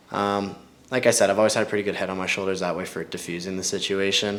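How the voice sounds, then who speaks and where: Audible room echo surrounds a man with a Canadian accent and a very deep, low voice. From western Canada, Kelowna BC. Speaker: MMA fighter. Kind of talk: casual interview. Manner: casual, many fillers.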